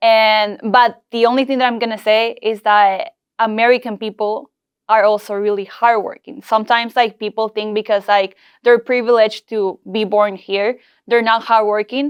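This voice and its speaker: A woman speaks at a moderate pace in a fairly high pitch, her intonation monotone and flat. The recording is very clean, with a silent background. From Peru. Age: 20s. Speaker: entrepreneur. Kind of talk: podcast interview.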